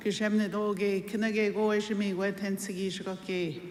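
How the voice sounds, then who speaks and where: A woman's medium-pitched voice at a fairly slow pace, fairly even in intonation, with audible room echo and noticeable background noise. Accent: Canadian. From Wiikwemkoong, Manitoulin Island, Ontario. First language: Anishinaabemowin. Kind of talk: ceremonial greeting.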